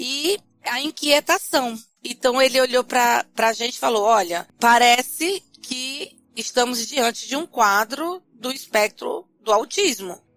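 Speaking very slowly in a northeastern Brazilian accent, a woman uses a high pitch and lively intonation. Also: dry, close sound with no echo. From Brazil, Fortaleza (Ceará). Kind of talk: interview.

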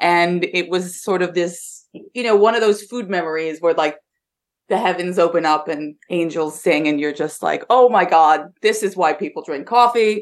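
Against a quiet background, a woman with a fairly low pitch speaks at a moderate pace with ordinary pitch variation. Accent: American. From Pennsylvania, US. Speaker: coffee expert. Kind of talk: interview.

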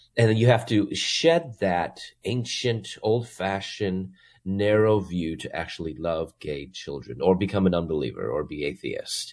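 This man has a plain, everyday voice, fairly low in pitch, with an American accent, lively intonation and a moderate pace. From US Midwest (Chicago). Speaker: Bible professor. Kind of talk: interview testimony.

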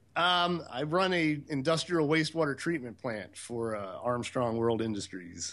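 An unremarkable speaking voice from a man, fairly high in pitch, with lively intonation, a moderate pace and hardly any pauses. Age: 40s. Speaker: sailing podcaster and wastewater treatment operator. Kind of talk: casual interview chat. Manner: relaxed, many filler words.

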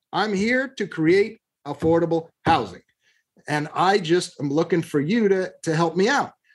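A man with an American accent talks fairly slowly in a high pitch. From Southern California, Long Beach. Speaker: real estate investment firm CEO. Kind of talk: interview.

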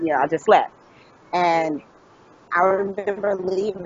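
There is noticeable background noise as a woman with an American accent speaks. Her medium pitch has ordinary pitch variation at a moderate pace. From US Midwest, Dayton, Ohio. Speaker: author. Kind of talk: interview.

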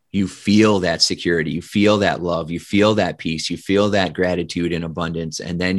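Against a quiet background, a man with a Midwestern American accent speaks at a moderate pace in a very deep, low voice with monotone, flat intonation. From US Midwest, Indiana. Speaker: hypnotist and leadership speaker. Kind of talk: interview.

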